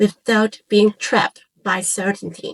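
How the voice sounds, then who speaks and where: In a dry, close recording with no echo, a woman with a Cantonese accent speaks at a fairly high pitch, somewhat breathy. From Hong Kong. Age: 40s. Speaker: content creator. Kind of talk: scripted personal introduction. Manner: calm, reflective.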